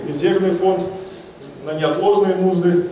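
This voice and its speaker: A man speaks at a high pitch. Light background noise and audible room echo surround his voice. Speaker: investment consultant. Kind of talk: conference talk. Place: hall. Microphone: handheld.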